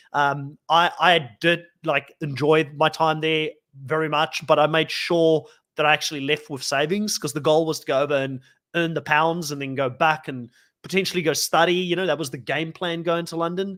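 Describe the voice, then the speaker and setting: In a South African accent, a man speaks with a fairly high pitch, a bright, sharp tone and fairly even intonation on a very clean recording with a silent background. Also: moderate pace. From South Africa, rural Western Cape. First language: Afrikaans. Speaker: podcast host. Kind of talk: casual chat.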